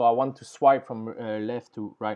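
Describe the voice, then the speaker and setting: A man with a French accent. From France. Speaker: programming tutorial creator. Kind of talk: coding tutorial. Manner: halting, with fillers.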